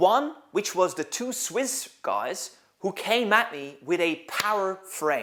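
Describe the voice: With a fairly bright tone, a man speaks in a high voice.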